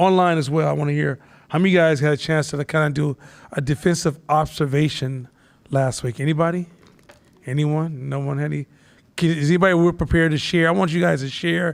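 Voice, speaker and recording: A man talks loudly at a very fast pace. His pitch is fairly high and his intonation fairly even. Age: 50s. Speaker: instructor. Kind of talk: live class talk.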